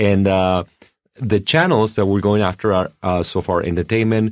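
A man speaking at a moderate pace, in a very clean recording with a silent background. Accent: Argentine. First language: Spanish. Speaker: podcast network founder and CEO. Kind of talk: interview.

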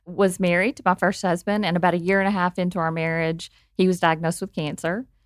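With an Arkansas accent, a woman speaks at a very fast pace and a fairly low pitch, with fairly even intonation and a dry, close sound with no echo. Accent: Arkansas Southern. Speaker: guest sharing personal story. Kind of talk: casual chat.

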